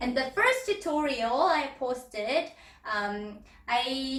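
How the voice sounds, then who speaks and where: A woman with a Korean accent speaks at a very slow pace in a bright, sharp tone, with very wide pitch swings and audible room echo. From South Korea. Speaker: belly dance teacher. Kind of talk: tutorial. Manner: halting, with fillers.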